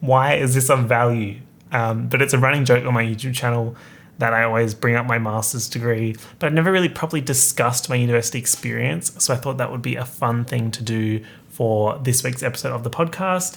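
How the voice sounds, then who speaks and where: Here a man speaks with an Australian accent at a fairly quick pace. His pitch is medium, with ordinary pitch variation. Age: 20s. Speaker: podcaster, YouTuber. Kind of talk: casual solo podcast monologue. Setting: home streaming room.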